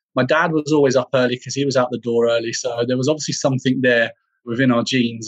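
The speaker is a man with a medium pitch. He talks in a southern English accent. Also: dry, close sound with no echo. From England, Bedfordshire. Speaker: leadership development professional. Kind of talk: interview.

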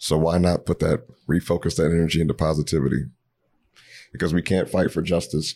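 A man with a very deep, low pitch has a dark, mellow tone and vocal fry. He speaks at a fairly quick pace with very even loudness. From Ohio, US Midwest. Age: 30s. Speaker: community organizer. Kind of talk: casual podcast interview. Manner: animated.

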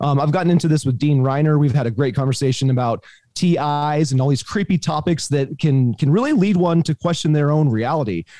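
Hardly pausing, a man speaks at a fairly quick pace with very even loudness, a fairly high pitch, a dark, mellow tone and ordinary pitch variation. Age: 40s. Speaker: podcast host. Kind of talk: casual interview chat.

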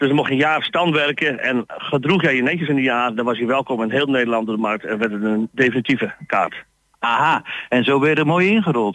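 A normal speaking voice from a man, fairly high in pitch, at a fairly quick pace with ordinary pitch variation. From Netherlands, Groningen (Stadskanaal). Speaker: market trader. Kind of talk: radio interview. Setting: outdoor market.

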